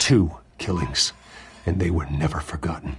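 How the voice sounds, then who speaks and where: The speech comes at an average pace. It is an assumed character voice. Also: man, very deep, low pitch for a man. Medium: video game. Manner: terse, controlled.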